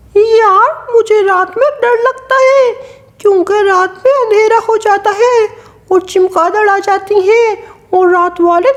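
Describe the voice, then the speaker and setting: A woman's cartoonish character voice at an extremely high pitch, fairly slow in pace, with ordinary pitch variation and very even loudness. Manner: sweet, coaxing.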